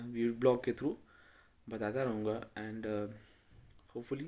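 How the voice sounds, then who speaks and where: The man talks in an Uttar Pradesh accent. His intonation is monotone and flat. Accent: Uttar Pradesh Hindi. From India, Uttar Pradesh. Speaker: bodybuilder and former powerlifter; bodybuilder vlogger. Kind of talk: casual vlog talk to camera. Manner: hesitant, filler-heavy. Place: home room. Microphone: phone near.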